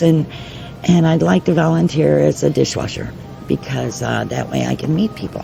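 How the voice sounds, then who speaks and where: With music in the background, a woman speaks at a moderate pace in an American accent. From New York. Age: 60s. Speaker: restaurant owner. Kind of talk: interview.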